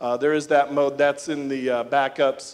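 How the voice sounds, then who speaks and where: A man with a fairly high pitch. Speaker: conference speaker presenting a CPU design. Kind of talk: technical conference talk. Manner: fast.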